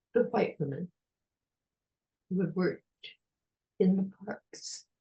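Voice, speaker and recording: In a dry, close recording with no echo, a woman with an American accent speaks in a dark, mellow, somewhat breathy voice. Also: medium pitch for a woman, ordinary pitch variation. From United States. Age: 80s+. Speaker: retired park ranger, historian. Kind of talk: interview answer.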